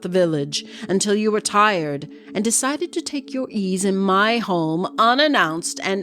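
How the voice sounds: The natural reading voice carries lively intonation.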